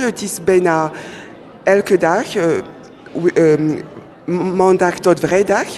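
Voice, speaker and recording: Speaking very slowly with a French accent, a woman keeps a fairly even intonation at a fairly low pitch over noticeable background noise. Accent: French-speaker accent in Dutch. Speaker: lawyer learning Dutch as second language. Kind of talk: radio interview. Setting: live radio at public event in cinema. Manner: halting, many hesitations.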